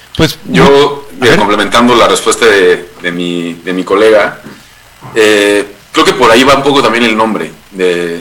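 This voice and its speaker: Noticeable background noise sits behind this man. He speaks fairly slowly with lively intonation. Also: medium pitch for a man. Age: 20s. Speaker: human rights consultant and podcast producer. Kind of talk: interview.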